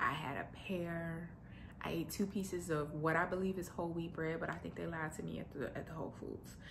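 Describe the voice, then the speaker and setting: Audible room echo surrounds a woman speaking at a fairly quick pace in a fairly low pitch with vocal fry. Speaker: lifestyle vlogger. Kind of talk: casual vlog monologue. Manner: fast; animated.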